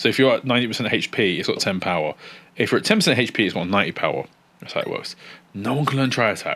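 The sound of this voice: The intonation is lively. The reading voice is unforced.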